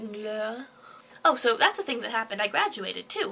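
Very wide pitch swings run through the woman's speech. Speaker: student, amateur stage actor. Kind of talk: casual talk to camera. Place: home room. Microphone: webcam.

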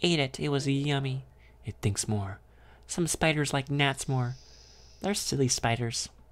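Someone reads aloud plainly. Pitch variation stays ordinary.

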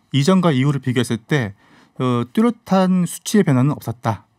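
Against a quiet background, a man with a fairly high voice talks at a moderate pace with lively intonation. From South Korea. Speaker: fish columnist and YouTuber. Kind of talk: radio interview, casual expert talk. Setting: radio studio. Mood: calm, informative. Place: studio. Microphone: studio mic.

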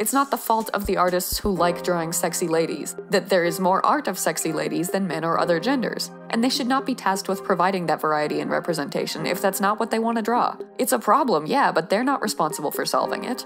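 A woman talks at a very fast pace with hardly any pauses and lively intonation. Music plays in the background. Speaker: artist commentator. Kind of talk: commentary. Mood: earnest, slightly exasperated.

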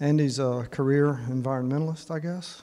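A man's dark, mellow tone. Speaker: men's group host introducing speaker. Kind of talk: casual introduction. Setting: church meeting room with audience. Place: church. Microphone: handheld.

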